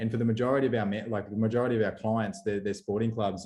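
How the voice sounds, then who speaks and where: Very fast and in an Australian accent, a man speaks with a fairly low pitch, a dark, mellow tone and monotone, flat intonation. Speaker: company representative presenting webinar. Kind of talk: webinar presentation. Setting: video call. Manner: halting, many fillers and repeats.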